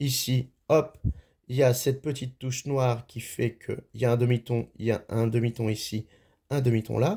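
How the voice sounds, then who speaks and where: At a moderate pace, a man speaks at medium pitch with a dark, mellow, somewhat breathy tone and fairly even intonation. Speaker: music teacher. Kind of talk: tutorial. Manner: halting.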